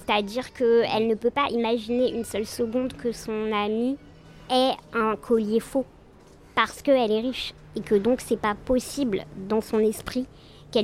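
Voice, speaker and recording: Music plays behind a woman who speaks at a fairly slow pace with a fairly high pitch and fairly even intonation. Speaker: lawyer. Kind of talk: casual interview about texts.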